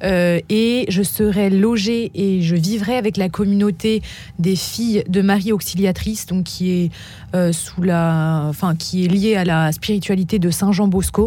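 With noticeable background noise behind her, a woman speaks at a very slow pace and a medium pitch, her loudness very even and her intonation fairly even. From Paris region, France. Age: 20s. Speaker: student volunteer. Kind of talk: radio interview. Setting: studio.

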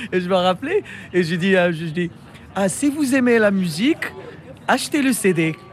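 Noticeable background noise sits behind a man with a high pitch. His pitch swings very widely. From Morocco. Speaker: musician and music teacher. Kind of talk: interview. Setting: hotel rooftop.

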